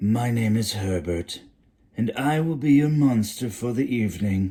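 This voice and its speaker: A man's breathy, put-on character voice at medium pitch and moderate pace. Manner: polite, formal.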